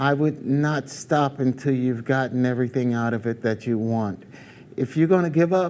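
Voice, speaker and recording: At a moderate pace, a man with an American accent talks with ordinary pitch variation in a normal speaking voice. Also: medium pitch for a man. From New York, US. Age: 60s. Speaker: singer. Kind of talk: interview.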